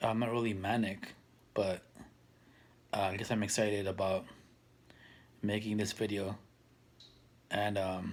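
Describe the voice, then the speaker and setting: With long, frequent pauses, a man speaks at a fairly slow pace in a fairly low, monotone voice with flat intonation. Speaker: mental health vlogger. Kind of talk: casual monologue. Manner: hesitant, many fillers.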